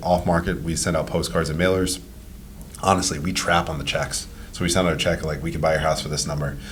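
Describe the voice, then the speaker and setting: A man speaks at a very fast pace in a very deep, low voice. The room echo is audible, and there is noticeable background noise. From Rhode Island, Cranston. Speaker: real estate investor and property manager. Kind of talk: podcast interview. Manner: casual, conversational.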